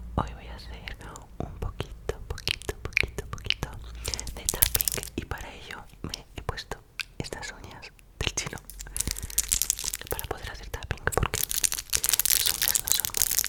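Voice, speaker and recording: Someone whispers at a fairly slow pace, with long, frequent pauses and big swings in loudness. Noticeable background noise is present. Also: man. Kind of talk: ASMR tapping video, casual talk to camera.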